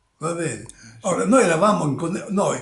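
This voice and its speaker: A man with a high-pitched voice talks at a fairly quick pace, with noticeable background noise and audible room echo. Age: 80s+. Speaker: retired country doctor. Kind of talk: interview. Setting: at home. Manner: halting.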